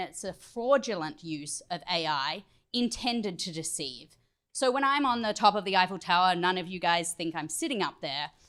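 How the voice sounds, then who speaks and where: Moderate pace from a woman with medium pitch and lively intonation, on a very clean recording with a silent background. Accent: Australian. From Australia. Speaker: tech company trainer. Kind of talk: training presentation.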